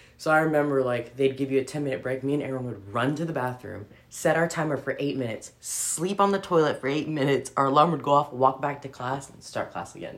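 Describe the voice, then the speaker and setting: At a very fast pace and with hardly any pauses, a woman speaks with a very deep, low pitch. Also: ordinary pitch variation, big swings in loudness. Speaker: military veteran, podcaster and parent. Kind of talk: casual chat. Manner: casual, profane, laughing often.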